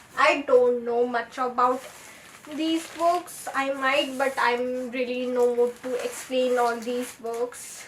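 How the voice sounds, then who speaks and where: Over noticeable background noise, a woman talks very slowly in a high voice. Her intonation is monotone and flat. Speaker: booktuber. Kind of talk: book haul video.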